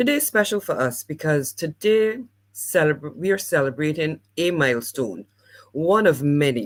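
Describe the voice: A woman with a low pitch for a woman and lively intonation, at a moderate pace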